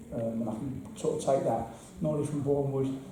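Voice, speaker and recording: A man speaks at a fairly quick pace with an English accent, his pitch medium. Noticeable background noise and audible room echo come through on the recording. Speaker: football assistant manager. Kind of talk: interview. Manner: fast; halting, repetitive.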